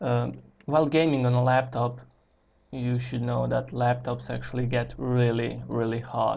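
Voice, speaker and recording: In a non-native accent, a man with a medium pitch speaks at a fairly slow pace with monotone, flat intonation. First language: not English. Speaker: gaming YouTuber. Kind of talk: tutorial. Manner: halting.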